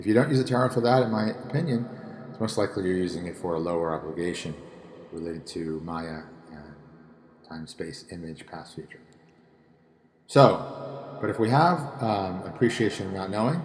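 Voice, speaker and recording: In a room with audible echo, a man speaks with lively intonation, long and frequent pauses, and big swings in loudness. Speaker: tarot and spirituality teacher. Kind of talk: solo talk on tarot reading. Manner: fast; hesitant with fillers.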